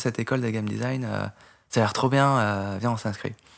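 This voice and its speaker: A man with ordinary pitch variation, recorded very cleanly over a silent background. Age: 20s. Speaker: programmer and game modder. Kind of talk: casual interview. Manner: calm, composed; hesitant, many fillers.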